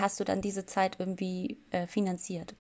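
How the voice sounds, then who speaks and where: A woman speaks in a non-native accent with monotone, flat intonation. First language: not German (speaking German). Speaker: podcast host, sociology student. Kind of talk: interview.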